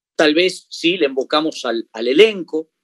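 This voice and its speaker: The speaker uses a Uruguayan accent at a fairly slow pace, with a dry, close sound and no echo. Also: man. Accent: Rioplatense Spanish (Uruguayan). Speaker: comedian. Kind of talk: interview. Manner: halting, frequent repetitions.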